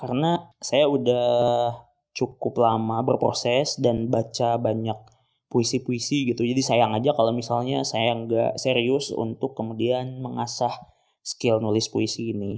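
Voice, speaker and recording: A man speaks at a fairly slow pace in a relaxed tone, his pitch medium. His intonation stays monotone and flat. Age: 20s. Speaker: podcast host, postgraduate student in Islamic education. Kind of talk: solo reflective monologue. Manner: casual, relaxed.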